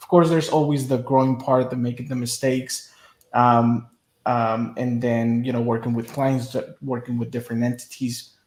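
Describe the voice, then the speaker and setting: This man speaks with a Spanish accent at a moderate pace, his medium-pitched delivery monotone and flat. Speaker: media business owner. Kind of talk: interview.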